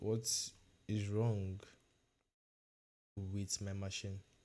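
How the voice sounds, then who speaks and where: Speaking with a Nigerian accent, the man has a dark, mellow tone. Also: very clean recording, silent background. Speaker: cybersecurity learner streamer. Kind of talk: casual livestream chat. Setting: livestream. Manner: hesitant, many fillers and repetitions.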